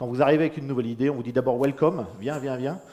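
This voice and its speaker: The man's voice has a dark, mellow tone, a medium pitch and ordinary pitch variation. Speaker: independent agile consultant. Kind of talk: conference talk. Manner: loud.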